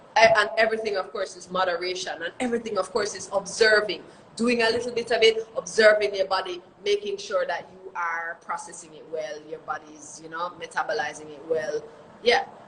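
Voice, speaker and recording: Over noticeable background noise, a woman at a medium pitch talks fairly quickly with ordinary pitch variation and big swings in loudness. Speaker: reggae singer. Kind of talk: interview. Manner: fast.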